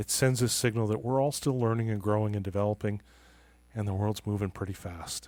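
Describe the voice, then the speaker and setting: Speaking at a fairly quick pace, a man with a fairly low pitch keeps his intonation fairly even on a very clean recording with a silent background. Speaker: author and leadership trust consultant. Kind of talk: podcast interview.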